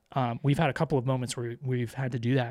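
A somewhat breathy man with an American accent and monotone, flat intonation, on a very clean recording with a silent background. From Florida. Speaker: podcast host, parent. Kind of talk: casual chat.

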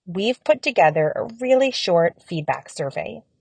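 A woman's somewhat breathy, calm, soothing voice with very wide pitch swings, in a dry, close sound with no echo. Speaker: audio guide creator. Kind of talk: blessing prayer, gently read psalm and benediction for a semester-end wrap-up. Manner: slow, calm, soothing, reverent and warm with unhurried pauses; earnest, gracious, and appreciative when asking for feedback.

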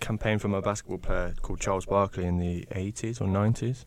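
A man with an English Midlands accent, fairly low pitch and a dark, mellow tone at a very fast pace, on a very clean recording with a silent background. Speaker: podcast host. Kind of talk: casual interview chat. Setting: in person, recording with handheld microphones.

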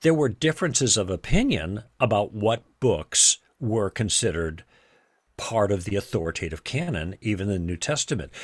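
Heard on a very clean recording with a silent background and a dry, close sound with no echo, a man talks at a moderate pace in a fairly low pitch with very wide pitch swings. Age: 70s. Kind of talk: interview on faith and theology. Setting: podcast recording. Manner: halting with many repetitions.

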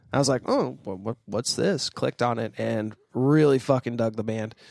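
Recorded very cleanly against a silent background, with a dry, close sound and no echo, a man with an unremarkable speaking voice talks at a moderate pace with ordinary pitch variation. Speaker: podcast host. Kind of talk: casual chat. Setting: studio, across a table.

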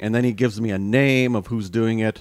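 Fairly low in pitch, the man speaks with ordinary pitch variation. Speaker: podcast host. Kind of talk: casual chat, podcast discussion. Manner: animated, teasing, laughs often.

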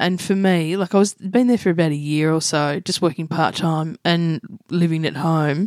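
A woman with an Australian accent, fairly low pitch, fairly even intonation and a moderate pace, in a dry, close sound with no echo. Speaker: comedian and radio host. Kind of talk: casual interview chat. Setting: home living room.

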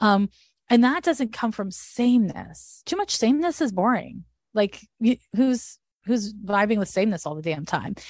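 Somewhat breathy, a woman talks at a moderate pace with a fairly high pitch and lively intonation. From Quebec, Montreal. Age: 40s. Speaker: astrologer. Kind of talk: casual interview chat.

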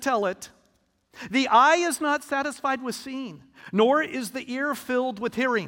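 A man's raised, projected voice sits at an extremely high pitch. The tone comes across bright and sharp. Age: 50s. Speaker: pastor. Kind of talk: sermon.

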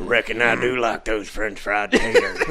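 A put-on character voice at a moderate pace, with clear background noise behind it. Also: man. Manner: slow, simple.

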